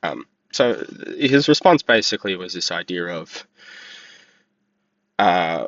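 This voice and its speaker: A man speaks with an Australian accent. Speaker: vlogger. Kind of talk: casual monologue commentary. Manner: halting, many fillers.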